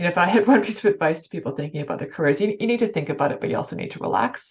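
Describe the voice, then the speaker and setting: A woman with a Canadian accent. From Canada. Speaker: financial services executive. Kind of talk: interview. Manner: fast.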